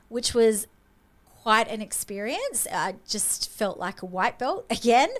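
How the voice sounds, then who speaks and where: A woman in an Australian accent, fairly high-pitched and animated, with lively intonation at a fairly slow pace. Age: 50s. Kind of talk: casual chat.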